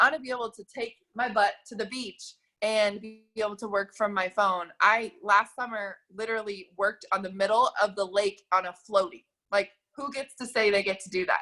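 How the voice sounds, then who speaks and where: An animated woman with an American accent has a bright, sharp tone and big swings in loudness. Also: medium pitch for a woman. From Mississippi, US South. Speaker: network marketing coach. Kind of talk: sales pitch. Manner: fast.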